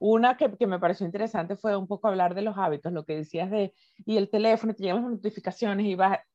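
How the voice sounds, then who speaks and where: Talking very fast, a woman has a medium pitch with ordinary variation and a dark, mellow tone, the sound dry and close with no echo. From Venezuela. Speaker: podcast co-host. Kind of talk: casual chat. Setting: video call.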